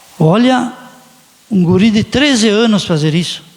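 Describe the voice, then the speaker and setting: Speaking at a fairly slow pace with lively intonation, a man with a high-pitched voice is heard over noticeable background noise. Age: 60s. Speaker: city councillor. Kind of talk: council session speech. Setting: council chamber.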